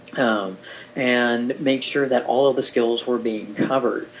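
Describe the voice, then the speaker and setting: Noticeable background noise under fairly even intonation. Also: man. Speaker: orientation and mobility instructor. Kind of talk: recorded presentation overview.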